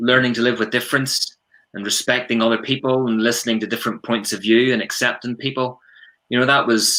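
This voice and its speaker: The voice has a Northern Irish accent and a bright, sharp tone. It moves at a fairly quick pace. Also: man. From Northern Ireland, Ballymena, County Antrim. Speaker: prevent coordinator, former police detective. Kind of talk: podcast interview.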